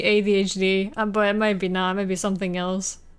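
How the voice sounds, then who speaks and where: A woman with a Polish accent at a moderate pace. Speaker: streamer. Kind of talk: casual chat.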